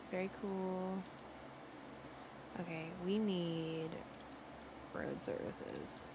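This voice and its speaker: Soft-spoken and somewhat breathy, the voice moves at a very slow pace with fairly even intonation. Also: woman. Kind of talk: soft-spoken ASMR gameplay talk. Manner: chatty.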